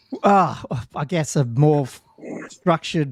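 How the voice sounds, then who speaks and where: Recorded with a dry, close sound and no echo, a man with an Australian accent speaks with ordinary pitch variation. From Australia, Newcastle NSW. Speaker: podcast co-host, tabletop gamer. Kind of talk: casual chat.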